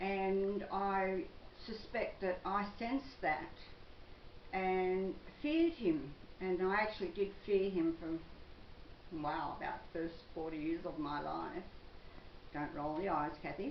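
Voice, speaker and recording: Over noticeable background noise and audible room echo, a woman talks at a very slow pace with a medium pitch, lively intonation, and long, frequent pauses. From Australia, western Sydney. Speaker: psychic vlogger. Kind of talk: personal monologue vlog.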